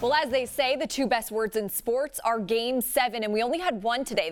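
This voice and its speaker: With an unremarkable speaking voice, a woman talks at a fairly quick pace, her pitch fairly high and its variation ordinary. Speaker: sports broadcaster. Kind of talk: in-studio sportscast highlights read.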